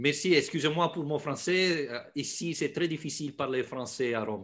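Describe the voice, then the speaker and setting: A man with an Italian accent speaks at a moderate pace and a fairly high pitch. His pitch variation is ordinary, with noticeable background noise behind him. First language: Italian (speaking French). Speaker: sports journalist and podcaster. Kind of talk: podcast interview. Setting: video call. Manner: halting, hesitant non-native French.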